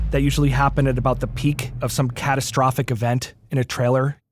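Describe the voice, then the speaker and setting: Very fast and monotone, a man with a medium pitch and somewhat breathy voice speaks at a very even loudness. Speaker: YouTube sound parody creator. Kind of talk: interview answer.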